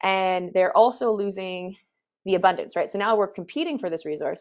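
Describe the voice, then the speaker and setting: A woman at a fairly quick pace, quiet background. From Canada. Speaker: expedition leader and presenter. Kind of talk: webinar presentation. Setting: webinar. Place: home room.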